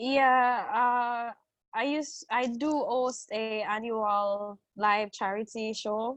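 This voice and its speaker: With a Jamaican accent, a woman speaks at a very slow pace with a fairly high pitch and fairly even intonation over a quiet background. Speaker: singer and songwriter, advocate for young mothers. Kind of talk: interview.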